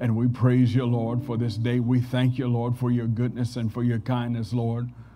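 A man talks at a moderate pace in a dark, mellow tone with monotone, flat intonation. Noticeable background noise sits behind him. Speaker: preacher. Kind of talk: scripture reading and prayer. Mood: reverent prayer. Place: church. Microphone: podium.

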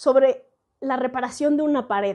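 A woman's high-pitched, dark, mellow voice at a fairly slow pace over a quiet background. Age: 40s. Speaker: educational video host and translator; educational video host. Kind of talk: educational monologue. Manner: reflective, conversational. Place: home room. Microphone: earbuds.

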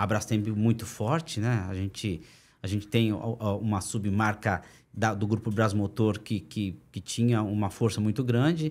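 This man has a fairly low pitch. He speaks at a fairly slow pace. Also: ordinary pitch variation. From Brazil. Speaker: entrepreneur. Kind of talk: interview. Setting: studio. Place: studio. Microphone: studio mic.

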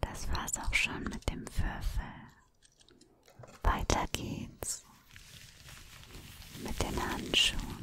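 Whispering, a woman uses a relaxed, soothing tone. She goes at a very slow pace with long, frequent pauses. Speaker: ASMR creator. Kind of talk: ASMR triggers, soft speaking to the listener. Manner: soft, relaxed, soothing. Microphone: studio mic.

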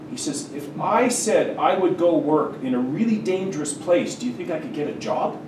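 Noticeable background noise sits under speech at a moderate pace. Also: man. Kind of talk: lecture. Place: classroom.

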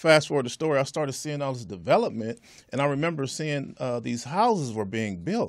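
A man with an American accent and a fairly high pitch speaks at a fairly quick pace with lively intonation over a quiet background. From Southern California. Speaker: entrepreneur and land developer; guest. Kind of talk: interview. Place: studio. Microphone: studio mic.

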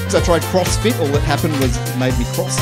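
A man is speaking. Loud music plays in the background. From Australia. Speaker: stand-up comedian. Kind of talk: stand-up comedy set. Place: stage. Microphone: handheld.

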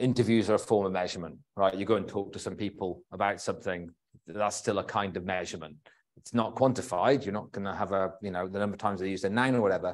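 At a very fast pace, a man talks in a fairly low pitch with fairly even intonation. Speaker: presenter. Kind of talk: lecture. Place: hall.

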